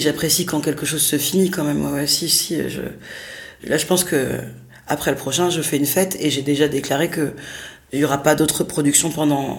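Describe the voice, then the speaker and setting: Very deep, low speech from a woman, fairly even in intonation and moderate in pace. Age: 30s. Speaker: theatre director and performer. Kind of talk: interview. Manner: halting.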